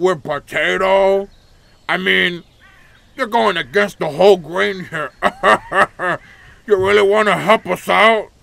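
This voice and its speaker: A man's cartoonish character voice, high-pitched, at a fairly slow pace with long, frequent pauses. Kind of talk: cartoonish game character voice. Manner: cheery, punning, teasing.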